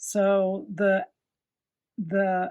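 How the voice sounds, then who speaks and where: A woman with a Southern US accent speaks at medium pitch. The background is quiet. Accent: Southern US, self-described slurring. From US South. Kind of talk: tutorial. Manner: casual, chatty with fillers; enthusiastic.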